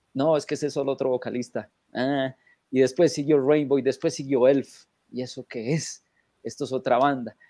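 A man's fairly high voice with a dark, mellow tone, a moderate pace and fairly even intonation, dry with no echo over a quiet background. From Colombia (Manizales); Colombia. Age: 40s. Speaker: rock fan; guest. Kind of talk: anecdote telling. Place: home room. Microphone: webcam.

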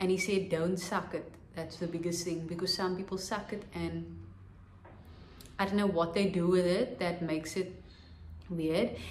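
A woman's somewhat breathy voice with audible room echo. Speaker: vlogger. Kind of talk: vlog. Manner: casual. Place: home room. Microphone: phone near.

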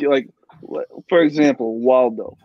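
A man speaks at a fairly slow pace with fairly even intonation. The sound is dry with no echo over a quiet background. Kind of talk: casual chat. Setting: video call. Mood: joking, playful. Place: home room. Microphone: video call.

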